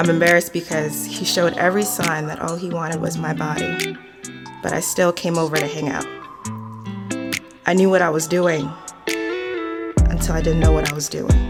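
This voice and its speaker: A woman's very deep, low voice at a moderate pace, broken by long, frequent pauses, with music in the background. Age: 20s. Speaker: spoken word poet. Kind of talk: spoken word poetry, personal confessional. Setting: recording studio, unmastered audio. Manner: raw, candid, reflective.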